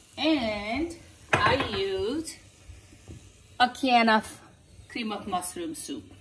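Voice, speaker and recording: Speech at a very slow pace, broken by long, frequent pauses, sits over loud background noise. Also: woman, high pitch for a woman. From Nepal. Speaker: home cooking video host. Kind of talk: cooking tutorial; tutorial. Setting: home kitchen. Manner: hesitant with frequent fillers. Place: kitchen. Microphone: phone near.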